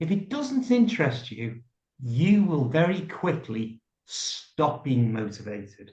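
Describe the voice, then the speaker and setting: With a British accent, the voice is somewhat breathy, moving very slowly through very wide pitch swings. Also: man. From UK. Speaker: YouTuber. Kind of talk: interview answer.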